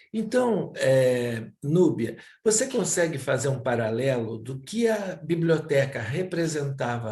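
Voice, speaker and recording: Somewhat breathy and dark, mellow in tone, a man speaks at a fairly slow pace with a fairly high pitch and very wide pitch swings. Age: 70s. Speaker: interviewer, reading house director. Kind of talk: interview.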